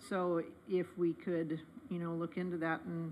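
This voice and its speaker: There is light background noise. A woman speaks with a bright, sharp tone. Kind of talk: meeting discussion. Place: meeting room. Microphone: podium.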